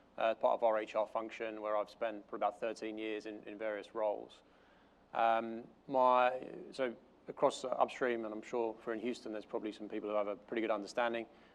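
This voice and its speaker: Here a man speaks at a fairly quick pace. His intonation is monotone and flat. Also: medium pitch for a man. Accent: London. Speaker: corporate learning and development manager. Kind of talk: conference panel talk. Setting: stage with audience. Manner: hesitant, many fillers.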